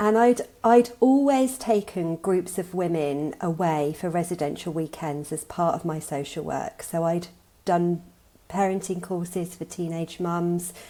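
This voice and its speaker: A woman's fairly low, dark, mellow voice with an English accent, ordinary pitch variation and a fairly slow pace. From England. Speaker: coach and social worker. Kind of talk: interview. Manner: halting.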